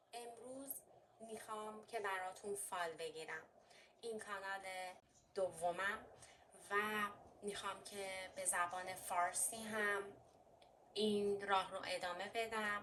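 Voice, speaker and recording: With a slight Armenian accent, a woman's medium-pitched, bright, sharp voice moves at a very slow pace with fairly even intonation and long, frequent pauses. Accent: slight Armenian accent in Persian. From Armenian heritage. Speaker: fortune teller. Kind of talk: tarot and coffee reading.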